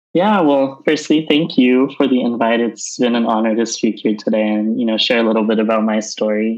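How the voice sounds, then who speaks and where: A man with an American accent and an unremarkable speaking voice talks at a fairly quick pace with hardly any pauses, at a medium pitch and with ordinary pitch variation. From Southern California. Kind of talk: interview.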